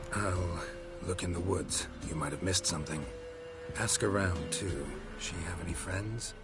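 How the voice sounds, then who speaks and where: Amid loud background noise, a man uses a put-on character voice at a very deep, low pitch, with long, frequent pauses. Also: moderate pace. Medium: game stream. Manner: terse, clipped, deadpan.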